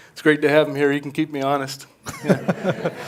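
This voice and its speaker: Over noticeable background noise, a man speaks at a fairly high pitch and moderate pace in a monotone, flat way. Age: 70s. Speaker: retired air crash investigator and author. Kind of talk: talk at a public speaker event. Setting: stage with live audience.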